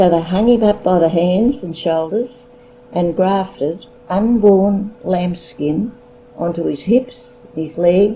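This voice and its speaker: A woman with an Australian accent at a very slow pace, ordinary pitch variation, and noticeable background noise. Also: medium pitch for a woman. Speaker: grandmother recalling family history. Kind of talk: oral history interview. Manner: halting.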